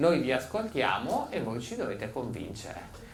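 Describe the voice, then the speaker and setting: With noticeable background noise and audible room echo, a man speaks with lively intonation. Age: 60s. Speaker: psychotherapist and author. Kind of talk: public talk. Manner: animated.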